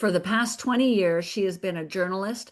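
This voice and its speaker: Against a quiet background, a woman speaks at a medium pitch with lively intonation in an unremarkable speaking voice. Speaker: podcast host. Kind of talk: podcast intro.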